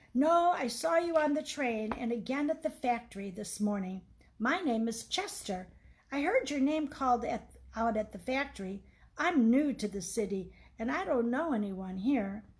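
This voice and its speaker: Using a put-on character voice, the speaker's pitch leaps very widely while the delivery keeps a moderate speed. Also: woman, high pitch for a woman. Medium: read story. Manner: open, chatty, eager.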